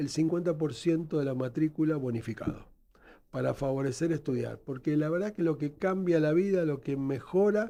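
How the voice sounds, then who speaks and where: Speaking with a Buenos Aires accent, a man with a fairly high pitch and a dark, mellow tone talks at a fairly quick pace with lively intonation. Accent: Rioplatense Spanish (Buenos Aires). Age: 60s. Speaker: nurse and educator, founder of a health training institute. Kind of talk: radio interview.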